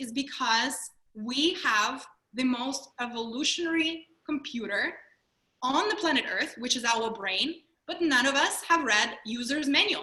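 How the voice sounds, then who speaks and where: A woman with a Russian accent uses a raised, projected voice, high in pitch and lively in intonation, at a fairly slow pace. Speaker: mindfulness trainer and speaker. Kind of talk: webinar presentation. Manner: animated.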